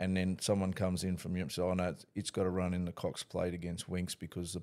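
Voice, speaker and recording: A man with an Australian accent, very deep and low in pitch, dark and mellow in tone, talking at a very fast pace with fairly even intonation. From North Queensland, Australia. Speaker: horse racing trainer. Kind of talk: casual interview chat. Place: studio. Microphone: studio mic.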